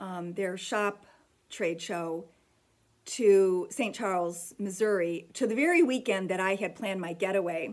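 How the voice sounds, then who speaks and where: With a plain, everyday voice, a woman of medium pitch speaks at a fairly slow pace with ordinary pitch variation. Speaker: needlework shop owner and vlogger. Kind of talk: casual vlog monologue.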